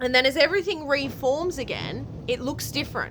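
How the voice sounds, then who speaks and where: There is noticeable background noise as a woman speaks in an animated tone. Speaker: spiritual vlogger. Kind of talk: casual monologue.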